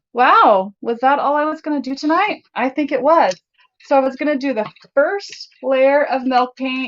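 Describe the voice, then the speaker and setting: A woman speaks loudly in a bubbly tone with a high pitch. Her pace is moderate and her pitch variation ordinary. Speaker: DIY crafts YouTuber. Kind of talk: live stream chat and tutorial. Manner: naturally loud and bubbly.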